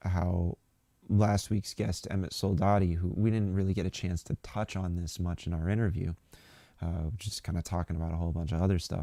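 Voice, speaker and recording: Soft-spoken, a man with a very deep, low pitch and a dark, mellow tone talks at a fairly quick pace with fairly even intonation, the sound dry and close with no echo on a very clean recording with a silent background. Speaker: political commentary livestream host. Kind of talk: live stream commentary. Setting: live stream from a local space. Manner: hesitant, many fillers.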